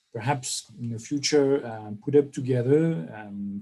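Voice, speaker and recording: A man's somewhat breathy voice, dark and mellow in tone, with ordinary pitch variation. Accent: French. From France. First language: French. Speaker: professor, workshop organiser. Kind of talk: online workshop opening remarks. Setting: online video conference. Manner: hesitant, many fillers.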